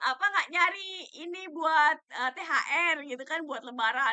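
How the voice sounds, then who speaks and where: Bright and sharp in tone, a woman speaks at a fairly quick pace. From Jakarta and Yogyakarta, Indonesia. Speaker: stock trading educator. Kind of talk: live stream talk on stock market. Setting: TikTok live stream. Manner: hesitant, many fillers. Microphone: quiet audio, laptop, weak signal.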